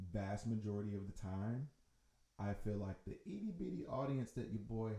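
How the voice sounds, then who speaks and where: This man has an American accent and a fairly low, somewhat breathy voice with a dark, mellow tone. He talks at a moderate pace with ordinary pitch variation. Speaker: musician and songwriter. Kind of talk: casual chat.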